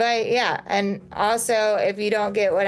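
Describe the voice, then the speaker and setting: A woman with a plain, everyday voice speaks at a fairly slow pace, keeping her intonation fairly even. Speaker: nervous system and mindset coach. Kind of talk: live stream talk to viewers. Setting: social media live video.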